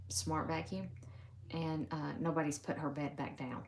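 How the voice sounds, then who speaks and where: In a Southern US accent, a woman with a very deep, low pitch and vocal fry speaks with lively intonation amid audible room echo. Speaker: crafter demonstrating embroidery. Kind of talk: live stream stitch-along. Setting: home live stream. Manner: casual, chatty.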